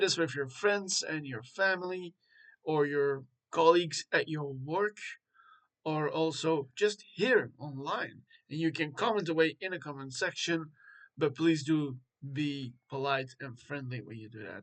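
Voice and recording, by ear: At a fairly slow pace, a man speaks with a fairly high pitch, a fairly bright tone and ordinary pitch variation.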